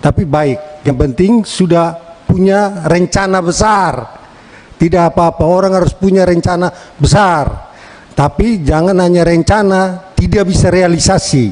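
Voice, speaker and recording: A man speaks in a high voice with ordinary pitch variation and a Timorese accent. His loudness stays very even, and background noise is noticeable. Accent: eastern Indonesian (Timor). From Timor, East Nusa Tenggara, Indonesia. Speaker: member of parliament. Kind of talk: parliamentary hearing speech. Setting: meeting room microphone. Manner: animated, lively.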